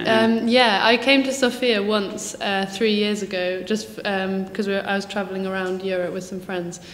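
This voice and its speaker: Amid noticeable background noise and audible room echo, a woman at medium pitch talks at a moderate pace with fairly even intonation and hardly any pauses. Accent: southern English. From southern England, near Brighton. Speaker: teaching assistant. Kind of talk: interview. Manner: hesitant, many fillers.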